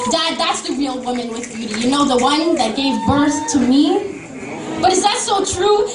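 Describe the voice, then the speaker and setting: Over noticeable background noise, a woman speaks at a high pitch and moderate pace, with a passionate tone and lively intonation. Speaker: spoken word poet performing at a student coffee house. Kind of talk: spoken word poetry performance with rhythmic repetition. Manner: rhythmic, emphatic, passionate.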